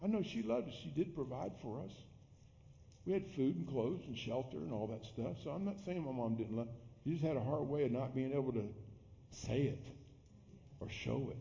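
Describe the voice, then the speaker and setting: With vocal fry and lively intonation, a man talks at medium pitch and a fairly quick pace. Long, frequent pauses run through his speech. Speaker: pastor. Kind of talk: sermon. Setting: church.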